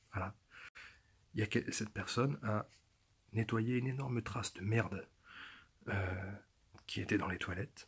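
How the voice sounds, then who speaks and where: A man whispering, somewhat breathy, at a moderate pace with long, frequent pauses. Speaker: youtuber. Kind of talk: casual vlog monologue. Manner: stammering, repeating words.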